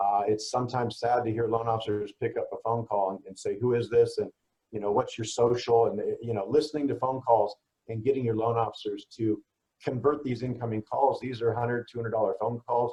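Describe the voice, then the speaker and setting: A man talks at a fairly quick pace. His voice is somewhat breathy, with monotone, flat intonation. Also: medium pitch for a man. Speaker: direct mail marketer. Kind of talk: webinar presentation. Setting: online webinar. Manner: fast; casual.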